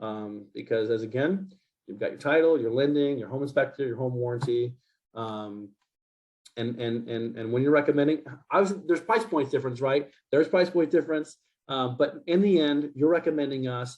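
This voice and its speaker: This man speaks at a fairly high pitch. His intonation is lively and his pace fairly quick. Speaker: home warranty representative. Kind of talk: presentation to realtors. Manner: fast; animated.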